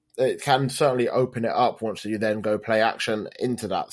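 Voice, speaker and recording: A man with a British accent. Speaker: football fan podcaster. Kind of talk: casual chat.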